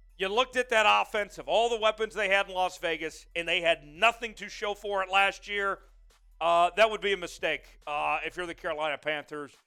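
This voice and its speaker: On a very clean recording with a silent background, a man with a high pitch projects a raised voice in a bright, sharp tone. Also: ordinary pitch variation, fairly quick pace. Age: 20s. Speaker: sports show host. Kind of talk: live stream sports talk. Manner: animated.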